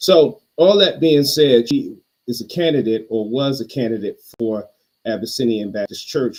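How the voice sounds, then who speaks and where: Medium in pitch and moderate in pace, a man talks in an unremarkable speaking voice. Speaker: pastor and podcast host. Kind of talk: casual chat. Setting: virtual podcast call.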